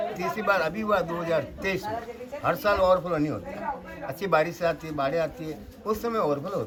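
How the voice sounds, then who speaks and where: With lively intonation, a high-pitched man speaks at a moderate pace amid crowd noise and audible room echo. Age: 60s. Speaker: local storyteller and guide. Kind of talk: guided tour narration.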